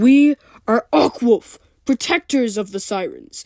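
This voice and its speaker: Using a put-on character voice, a woman speaks at a fairly slow pace. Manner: stern, commanding.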